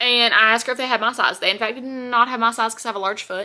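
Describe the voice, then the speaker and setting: Her intonation is monotone and flat. The speaker is a woman. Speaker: haul vlogger. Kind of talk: casual vlog chat. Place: home room. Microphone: phone near.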